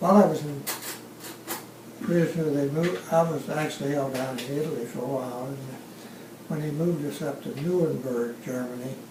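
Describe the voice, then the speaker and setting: Amid noticeable background noise and audible room echo, a man with a fairly high pitch talks at a fairly quick pace but leaves long, frequent pauses. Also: ordinary pitch variation. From Louisiana, US South. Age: 90s. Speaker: war veteran. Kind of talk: oral history interview.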